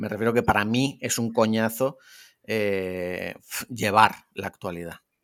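A man speaks in a normal speaking voice, fairly low in pitch and fairly even in intonation, at a fairly slow pace on a very clean recording with a silent background. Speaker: podcaster. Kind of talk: casual chat.

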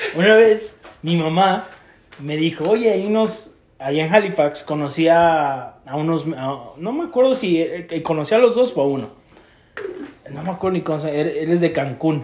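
Here a man talks at a fairly slow pace in a high voice. His intonation is lively. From Mexico, State of Mexico. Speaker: podcast co-host. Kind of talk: casual chat.

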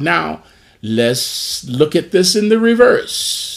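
A man speaks in an animated tone with very wide pitch swings. The recording is very clean, with a silent background. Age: 60s. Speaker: pastor. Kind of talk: Bible study teaching. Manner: animated, call-and-response exclamations.

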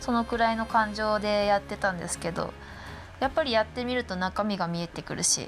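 Over music in the background, a woman speaks at a fairly quick pace in a medium pitch with ordinary pitch variation. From Shiroishi, Miyagi, Japan. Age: 20s. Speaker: arts project staff member. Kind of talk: casual chat.

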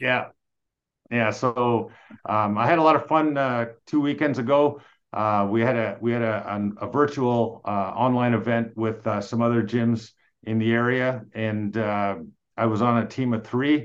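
Speaking fairly slowly in a Canadian accent, a man keeps a medium pitch and fairly even intonation. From Quebec. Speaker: police detective and real estate investor. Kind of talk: interview conversation. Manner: hesitant, many fillers.

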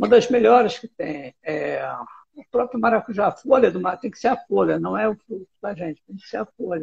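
Moving at a moderate pace, a man's voice swings very widely in pitch. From Brazil, interior of São Paulo state. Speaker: herbalist and forest researcher. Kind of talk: casual interview.

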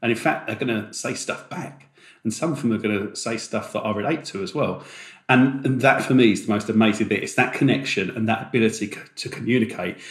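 A man speaks fairly quickly in a medium-pitched, somewhat breathy voice. His pitch varies in an ordinary way. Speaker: podcast co-host. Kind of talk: podcast discussion.

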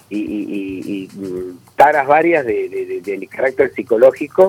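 A man speaks over noticeable background noise. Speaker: radio announcer. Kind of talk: casual chat.

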